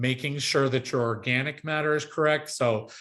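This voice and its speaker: A man talks with ordinary pitch variation. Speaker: agronomist and sports field specialist. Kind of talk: webinar presentation. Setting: online webinar. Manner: fast.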